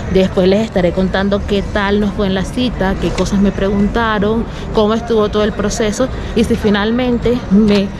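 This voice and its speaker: Noticeable background noise runs under a woman speaking at a moderate pace. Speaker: travel vlogger. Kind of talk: casual vlog chat. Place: street. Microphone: phone near.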